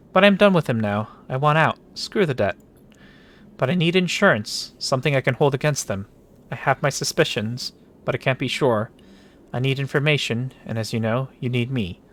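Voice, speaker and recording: A man's put-on character voice, shaky, medium in pitch, at a moderate pace. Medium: game stream. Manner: shaky, nervous.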